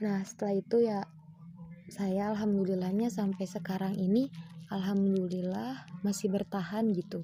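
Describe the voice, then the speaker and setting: A woman speaks at a medium pitch in a dark, mellow tone, somewhat breathy. Her pace is moderate, with fairly even intonation. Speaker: university student. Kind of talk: personal testimony. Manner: casual, with fillers.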